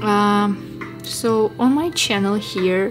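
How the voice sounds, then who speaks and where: A woman with a non-native accent and ordinary pitch variation, heard over noticeable background noise. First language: not English. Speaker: fashion designer, drawing teacher. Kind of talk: tutorial. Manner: halting, with fillers.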